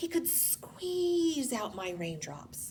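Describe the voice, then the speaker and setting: A woman does a put-on character voice, high-pitched with very wide pitch swings. Background noise is clearly audible. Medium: read story.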